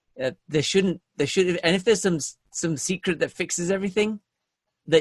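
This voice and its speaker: With a British accent and ordinary pitch variation, a man talks at a very fast pace in a dry, close recording with no echo. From England. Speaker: sales software founder. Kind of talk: podcast interview. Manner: repetitive false starts.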